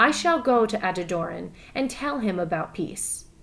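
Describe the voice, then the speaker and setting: A woman's put-on character voice at a medium pitch, with very wide pitch swings and a moderate pace. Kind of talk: read-aloud story for students. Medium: read story. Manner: solemn, measured.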